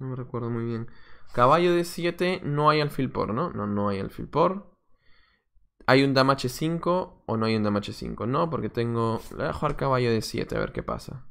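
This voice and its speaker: A man's voice moves at a moderate pace, with a quiet background behind it. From Peru, Lima; Peru. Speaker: chess coach and streamer; chess coach, streamer. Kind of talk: live stream commentary while playing chess. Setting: live stream. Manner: casual, thinking aloud. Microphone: webcam.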